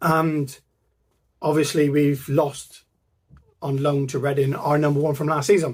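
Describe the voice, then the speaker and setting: A man with a Plymouth accent speaks at a fairly slow pace with long, frequent pauses, his fairly high, somewhat breathy voice in a monotone, flat intonation. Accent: Janner (Plymouth). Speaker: football fan channel co-founder. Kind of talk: casual vlog monologue.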